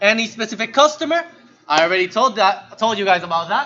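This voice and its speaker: Music plays in the background. Over it, a man speaks in a high voice. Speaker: programming instructor. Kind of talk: lecture. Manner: fast; casual.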